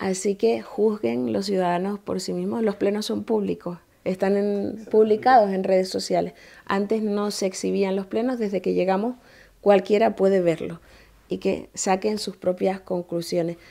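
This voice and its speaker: A woman with a Canarian accent and a dark, mellow tone speaks at a fairly slow pace with ordinary pitch variation against a quiet background. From Canary Islands, Tenerife (Granadilla); Canary Islands. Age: 30s. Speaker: mayor. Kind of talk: interview. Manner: formal. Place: office.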